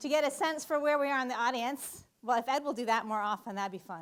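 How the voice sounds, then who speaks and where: A loud, animated woman's voice, high in pitch, with lively intonation. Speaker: physics professor. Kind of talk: public lecture. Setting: lecture hall with audience.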